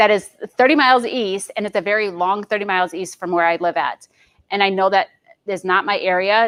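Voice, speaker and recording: A woman at medium pitch and a fairly quick pace, with ordinary pitch variation, on a very clean recording with a silent background and a dry, close sound with no echo. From Michigan. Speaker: real estate agent. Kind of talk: training presentation. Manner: fast.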